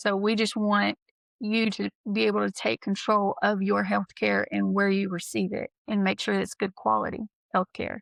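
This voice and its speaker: In a dry, close sound with no echo, a woman talks at a moderate pace over a quiet background. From East Texas. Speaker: nurse practitioner, podcast co-host. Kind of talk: casual chat. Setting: podcast recording.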